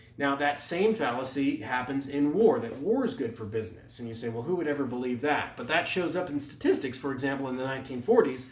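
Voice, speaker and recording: A man's fairly high voice, very fast and lively in intonation, with noticeable background noise and audible room echo. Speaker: economics lecturer. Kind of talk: lecture.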